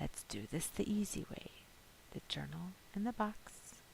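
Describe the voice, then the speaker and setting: A put-on character voice, female-sounding, whispering and hissing at a moderate pace. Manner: menacing.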